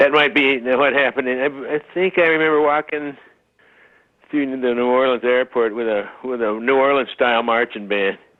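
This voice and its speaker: A man speaks in an unremarkable speaking voice at medium pitch. His pace is moderate and his pitch variation ordinary. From Utah. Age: 60s. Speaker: bassist. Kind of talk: interview. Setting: phone call.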